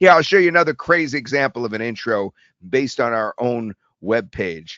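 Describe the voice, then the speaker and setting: An American accent marks this man's medium-pitched voice. He speaks at a moderate pace with lively intonation. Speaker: software presenter. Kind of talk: webinar product demo. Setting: webinar screen share. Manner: casual, some hesitations.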